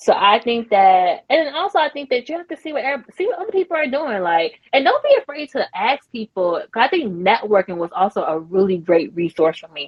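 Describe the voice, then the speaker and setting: A woman's high voice, fairly quick and animated, with very wide pitch swings and hardly any pauses. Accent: American. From US South. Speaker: podcast founder and entrepreneur. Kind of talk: interview conversation.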